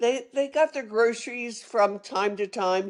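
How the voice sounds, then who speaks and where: Against a quiet background, a woman with a Philadelphia accent talks at a fairly slow pace. Her pitch is fairly high, with ordinary pitch variation. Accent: Philadelphia-area American English. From Philadelphia area, Pennsylvania (Norristown). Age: 70s. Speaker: retired sommelier and storyteller. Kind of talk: interview storytelling. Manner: hesitant with fillers and self-corrections.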